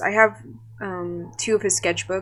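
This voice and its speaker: Recorded very cleanly against a silent background, a woman with a Californian accent speaks at a medium pitch. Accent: Californian American English. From Southern California. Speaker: artist and animator. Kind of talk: casual podcast talk. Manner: hesitant, many fillers.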